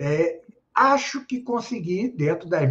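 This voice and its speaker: Speaking very slowly, a man with a high voice makes very wide swings in pitch. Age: 70s. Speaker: philosopher and grammarian. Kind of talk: interview. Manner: halting.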